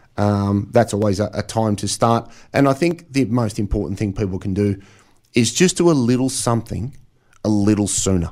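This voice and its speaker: In an Australian accent, a man with a fairly low pitch speaks at a moderate pace with ordinary pitch variation on a very clean recording with a silent background. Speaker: financial planner and author. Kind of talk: radio interview.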